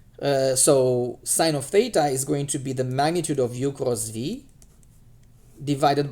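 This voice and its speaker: A man speaks at a moderate pace in a dark, mellow tone. Audible room echo surrounds his voice. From Romania. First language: Romanian. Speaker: math teacher. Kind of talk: lecture. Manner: halting, many fillers.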